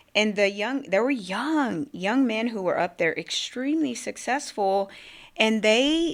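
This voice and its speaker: With lively intonation, a woman speaks at a fairly high pitch in a very clean recording with a silent background. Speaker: business owner and military veteran. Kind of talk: podcast interview. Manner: fast.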